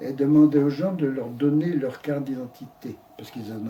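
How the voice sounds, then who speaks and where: Over noticeable background noise, a man speaks at a fairly quick pace. His pitch is medium and varies in an ordinary way. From Brittany, France. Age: 80s+. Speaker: elderly man recounting his life. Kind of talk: interview. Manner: halting.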